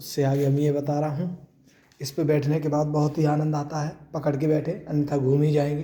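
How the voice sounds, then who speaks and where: At a moderate pace, a man talks in a fairly high pitch with a somewhat breathy, dark, mellow tone. His intonation is monotone and flat. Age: 20s. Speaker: vlogger showing a gym. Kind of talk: casual vlog banter.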